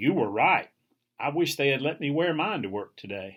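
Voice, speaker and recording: A man uses a put-on character voice, fairly high-pitched, with very wide swings in pitch. He speaks at a moderate pace. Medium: read story. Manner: playful, affectionate.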